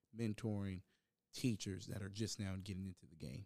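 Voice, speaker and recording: A man speaks at a fairly quick pace in a dark, mellow tone, with a dry, close sound and no echo. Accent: American. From Virginia, Hampton. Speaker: podcast host, college music education student. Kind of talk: casual interview podcast.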